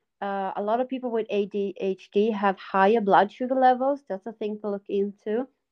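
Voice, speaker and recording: A woman speaks with a Swedish accent and ordinary pitch variation. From Sweden. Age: 40s. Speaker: guest, mother with ADHD.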